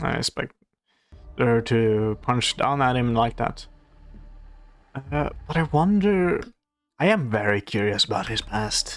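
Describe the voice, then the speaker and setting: Over music in the background, a man with a non-native accent and a medium pitch speaks at a fairly slow pace with lively intonation and long, frequent pauses. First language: not English. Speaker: reaction video creator. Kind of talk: reaction commentary. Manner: halting, many fillers.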